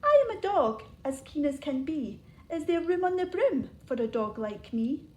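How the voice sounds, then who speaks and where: Using a put-on character voice, a woman talks at a moderate pace in a high pitch. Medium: read story.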